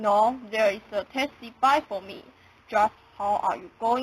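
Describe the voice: Pitch rises and falls normally through this plain reading aloud.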